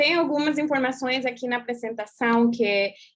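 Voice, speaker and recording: A woman with an English accent speaks with ordinary pitch variation against a quiet background. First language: English (speaking Portuguese). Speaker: consular official. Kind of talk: presentation.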